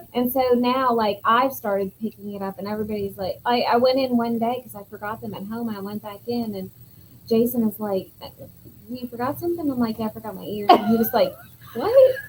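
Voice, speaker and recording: A woman with a slight Southern US accent speaks at a fairly quick pace in a fairly high voice, showing ordinary pitch variation and big swings in loudness. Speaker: yarn business co-owner and livestream co-host. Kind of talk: casual chat.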